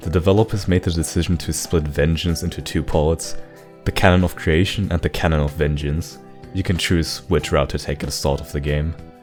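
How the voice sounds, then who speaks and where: Music plays in the background as a man with a very deep, low voice speaks at a fairly quick pace with fairly even intonation. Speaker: gaming commentator. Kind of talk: video essay commentary. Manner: monotone.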